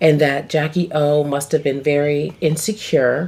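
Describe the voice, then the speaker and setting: With noticeable background noise, a woman speaks in an animated tone at a very deep, low pitch. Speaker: tarot reader. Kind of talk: casual tarot reading. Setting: home, on camera.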